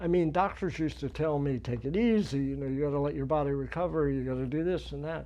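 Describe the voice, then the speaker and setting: A man's fairly high voice at a very fast pace, with ordinary pitch variation and audible room echo. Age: 80s+. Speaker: powerlifter and army veteran. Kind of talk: casual chat.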